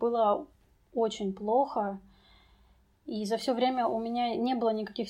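Against a quiet background, a woman with an ordinary speaking voice talks at a moderate pace in a fairly high pitch with fairly even intonation. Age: 20s. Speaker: English teacher sharing depression story. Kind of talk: personal testimony.

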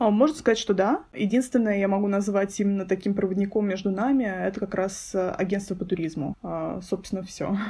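At a fairly quick pace with hardly any pauses, the somewhat breathy voice has a dark, mellow tone and ordinary pitch variation. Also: woman, medium pitch for a woman. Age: 20s. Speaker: guest, master's student. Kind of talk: casual interview chat.

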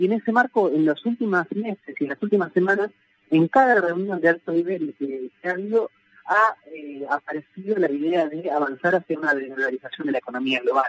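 With lively intonation and a fairly quick pace, a man speaks at a high pitch in a dry, close sound with no echo. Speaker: sociologist and professor. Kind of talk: radio interview.

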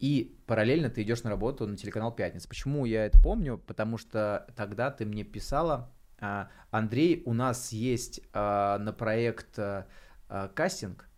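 In a very clean recording with a silent background, a man with a plain, everyday voice speaks at a moderate pace and medium pitch. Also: ordinary pitch variation. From Bryansk region, Russia. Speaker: podcast host. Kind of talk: casual chat.

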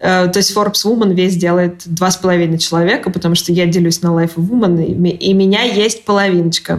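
A woman talks at a fairly quick pace with hardly any pauses, very even loudness and fairly even intonation, over noticeable background noise. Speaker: magazine editor-in-chief. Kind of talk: interview.

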